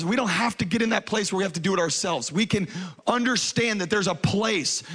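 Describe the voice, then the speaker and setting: Over noticeable background noise, a man with an American accent raises and projects his high voice in an animated tone. He speaks at a fairly quick pace with ordinary pitch variation. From US South, Baton Rouge, Louisiana. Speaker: pastor. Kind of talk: sermon. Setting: church stage with congregation.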